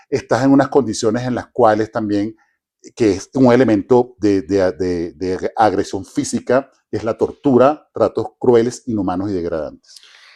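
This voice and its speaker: The tone is dark and mellow, the pitch varies an ordinary amount, and the sound is dry and close with no echo. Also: man, medium pitch for a man, fairly slow pace, quiet background. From Venezuela. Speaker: human rights specialist. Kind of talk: interview. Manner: halting, many false starts.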